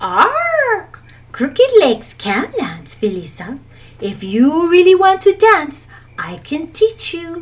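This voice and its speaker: In a croaky put-on character voice, a woman speaks at a very slow pace and an extremely high pitch. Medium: read story. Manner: clacking, croaking.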